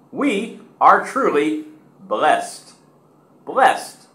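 Amid audible room echo, a man with an American accent talks at a very slow pace in an extremely high pitch with very wide pitch swings. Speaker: English teacher. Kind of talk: pronunciation drill. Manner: slow, clear, syllable by syllable. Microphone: webcam.

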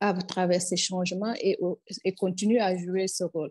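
Over a quiet background, a woman speaks in a fairly low voice with a dark, mellow tone and fairly even intonation. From Senegal. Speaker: music industry expert; panelist. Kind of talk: panel discussion. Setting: video call. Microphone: earbuds.

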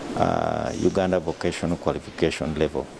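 Against noticeable background noise, a man speaks at a moderate pace with a very deep, low pitch. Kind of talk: interview answer. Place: workshop. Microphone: handheld.

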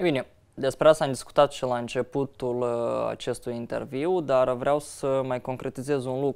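The recording has a quiet background and a man with a plain, everyday voice. His medium pitch has fairly even intonation, at a moderate pace. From Moldova. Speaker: opposition politician, party vice-president; opposition politician. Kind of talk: interview. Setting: studio. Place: studio. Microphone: lapel.

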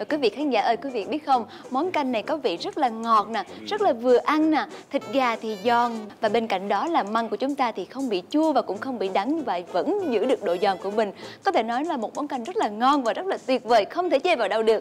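A woman speaks at a fairly quick pace in a high voice over light background noise. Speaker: TV cooking show host. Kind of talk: TV presenter address to viewers. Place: studio. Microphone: lapel.

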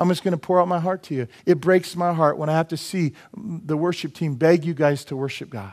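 A man speaks at a fairly quick pace with hardly any pauses, in an animated tone. His pitch variation is ordinary and the background quiet. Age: 50s. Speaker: preacher. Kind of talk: sermon. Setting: church. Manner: humorous, self-deprecating asides. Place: church.

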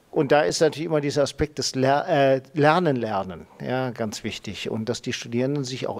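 A man talks at a fairly quick clip. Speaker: professor. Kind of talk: panel discussion on climate adaptation; panel discussion talk. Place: hall. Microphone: handheld.

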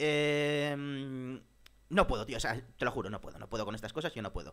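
The man's delivery runs at a fairly quick pace. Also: quiet background. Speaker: gamer streamer. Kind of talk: gaming commentary. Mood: frustrated, exasperated. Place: home room. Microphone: headset.

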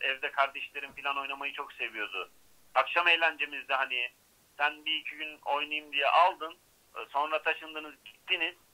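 This is a man speaking at a moderate pace. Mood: complaining, reproachful. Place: studio.

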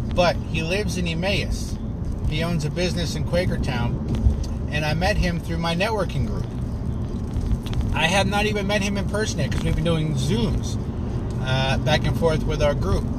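A man talks at a moderate pace over loud background noise, with a dry sound and no echo. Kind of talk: casual vlog chat. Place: car. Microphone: phone near.

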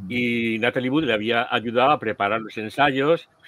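Speaking at a fairly slow pace, a man uses an ordinary speaking voice at medium pitch, with a dry sound and no echo. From Spain. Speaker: podcast host. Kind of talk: casual chat. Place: home room. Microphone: headset.

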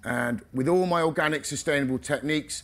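Lively intonation marks a normal speaking voice that goes along at a fairly quick pace. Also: man. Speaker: organic vegetable farmer; speaker. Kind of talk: conference talk. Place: tent.

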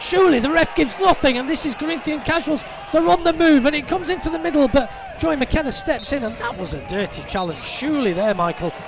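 The voice is animated and very fast, with a dry sound and no echo but noticeable background noise. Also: man, extremely high pitch for a man. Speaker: football match commentator. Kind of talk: live football commentary. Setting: media booth at stadium. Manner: animated, fast play-by-play; builds excitement at shootout. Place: stadium.

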